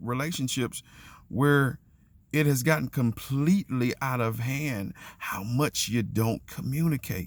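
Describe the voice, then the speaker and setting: A man speaks with a fairly high pitch. His pitch varies in an ordinary way. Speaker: faith and relationships vlogger. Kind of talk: motivational monologue. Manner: loud; halting.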